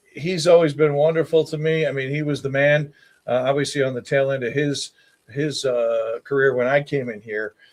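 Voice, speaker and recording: A fairly high-pitched man with an American accent, an unremarkable speaking voice. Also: fairly even intonation, moderate pace. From Baltimore, Maryland. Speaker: TV meteorologist. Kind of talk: casual interview.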